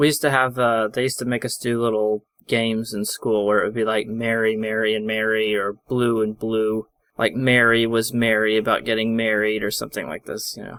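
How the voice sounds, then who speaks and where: Here a man talks at a fairly quick pace and a medium pitch. His intonation is monotone and flat. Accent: Midwestern. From US Midwest. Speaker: podcast co-host. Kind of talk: casual chat.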